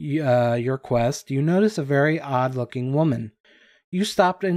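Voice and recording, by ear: Behind the speaker, the background is quiet. The text is read aloud in a natural voice.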